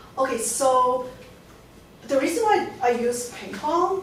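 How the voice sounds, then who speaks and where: Over noticeable background noise and audible room echo, a woman with a Hong Kong accent talks very slowly in a high pitch with lively intonation. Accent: Hong Kong accent, still present. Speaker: artist. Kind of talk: lecture Q&A. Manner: halting, many restarts.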